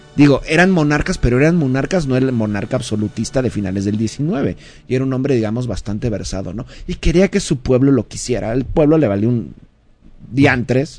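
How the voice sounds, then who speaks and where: An ordinary speaking voice talks at a fairly quick pace. The intonation is lively. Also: man, medium pitch for a man. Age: 30s. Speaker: history commentator. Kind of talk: casual chat. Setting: live radio studio.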